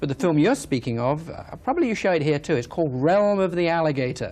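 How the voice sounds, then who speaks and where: Speaking with an English accent, a man uses lively intonation. His pitch is fairly high and his pace fairly quick. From England. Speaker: wildlife filmmaker and environmentalist. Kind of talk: TV interview.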